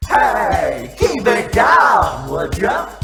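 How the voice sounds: A put-on character voice from a woman, medium in pitch, fairly bright in tone, with very wide pitch swings, vocal fry, a very slow pace and faint background music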